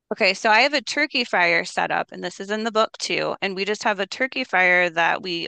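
Speaking fairly quickly with an American accent, a woman at medium pitch has a bright, sharp tone and vocal fry over a quiet background. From Minnesota, Minneapolis. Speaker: cookbook author and homesteader. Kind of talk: interview.

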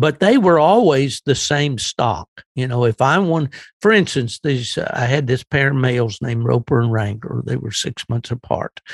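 A man talks at a moderate pace and medium pitch with lively intonation, a somewhat breathy voice, hardly any pauses, and a dry, close sound with no echo. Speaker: veteran hound hunter. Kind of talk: interview. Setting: remote call with headphones.

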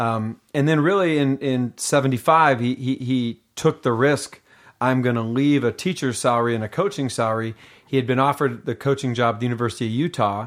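A man with an American accent talks at a fairly quick pace in an ordinary speaking voice. His pitch is medium with ordinary variation, and the background is quiet. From US Pacific Northwest (Seattle, Washington). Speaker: mental conditioning coach. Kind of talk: casual interview. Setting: in person at host's home.

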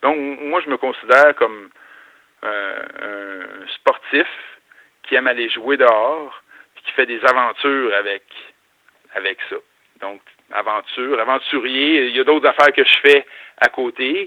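A man talks at a fairly slow pace in a medium pitch, with ordinary pitch variation. His loudness swings a lot, and he leaves long, frequent pauses. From Quebec. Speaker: athlete and adventurer. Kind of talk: interview.

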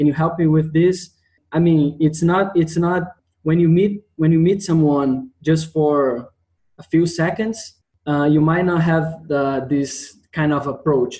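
A man with a Portuguese accent, fairly high pitch and a dark, mellow tone, at a fairly slow pace with very even loudness and fairly even intonation. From Brazil, Rio de Janeiro. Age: 20s. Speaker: geoscience student. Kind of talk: interview. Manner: halting.

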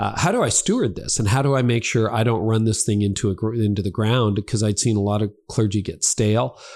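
Speaking at a fairly quick pace with hardly any pauses, a man with a Canadian accent uses a normal speaking voice, fairly low in pitch and very even in loudness, on a very clean recording with a silent background. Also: ordinary pitch variation. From Canada. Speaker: founding pastor. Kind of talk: casual interview.

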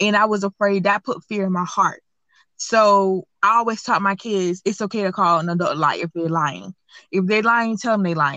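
A woman with a medium pitch and a bright, sharp tone speaks at a moderate pace with ordinary pitch variation. The sound is dry and close with no echo, over a quiet background. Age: 20s. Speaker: anonymous guest sharing personal HIV story. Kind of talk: personal testimony interview.

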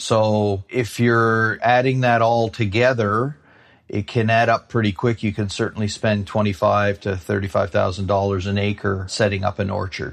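Speaking at a moderate pace, a man uses an unremarkable speaking voice with a fairly low pitch and fairly even intonation. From New Brunswick, Canada. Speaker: apple grower and former food executive. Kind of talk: interview.

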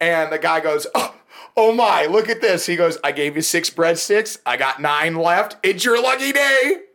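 This man talks at a moderate pace, his high-pitched voice carrying lively intonation. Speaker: podcast guest. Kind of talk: casual banter.

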